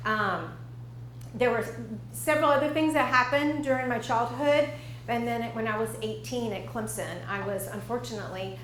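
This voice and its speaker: Someone with an American accent speaks at a fairly quick pace amid noticeable background noise and audible room echo. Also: woman. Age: 60s. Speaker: dietitian. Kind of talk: lecture.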